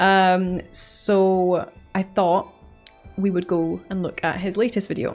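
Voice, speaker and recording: A woman with a Scottish accent speaks at a medium pitch in a monotone, flat intonation, with music in the background. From Scotland. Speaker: YouTube reaction creator. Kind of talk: casual talk to camera.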